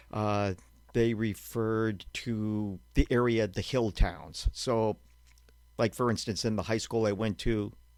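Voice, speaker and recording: Fairly low in pitch, a man with an unremarkable speaking voice talks at a fairly slow pace with fairly even intonation. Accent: American. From Western Massachusetts (Berkshires, Shelburne Falls). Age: 60s. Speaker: museum historian and documentary filmmaker. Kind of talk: casual interview.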